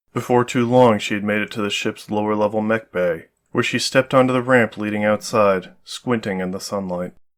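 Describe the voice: Over a quiet background, the text is read aloud plainly, with pitch that varies in an ordinary way.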